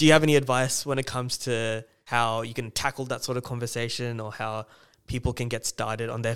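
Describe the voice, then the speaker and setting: Fairly quick and monotone, with flat intonation, a man with an Australian accent speaks at a medium pitch in a very clean recording with a silent background. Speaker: podcast host. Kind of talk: casual interview.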